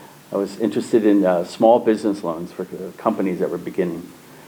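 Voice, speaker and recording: A man with an American accent talks at a very fast pace and fairly even intonation against noticeable background noise. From US Midwest, St. Louis, Missouri. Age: 70s. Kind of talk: interview. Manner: halting.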